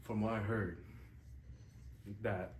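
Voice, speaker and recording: The man's voice sits fairly low. Audible room echo surrounds it. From immigrant, outside English-speaking world. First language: not English. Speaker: student podcast co-host. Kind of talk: casual chat. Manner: hesitant, many fillers.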